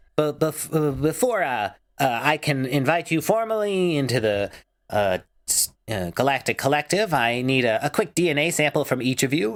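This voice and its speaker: In a very clean recording with a silent background, a man puts on a character voice. His pitch is fairly high and his pace moderate. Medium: actual play. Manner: haughty, matter-of-fact.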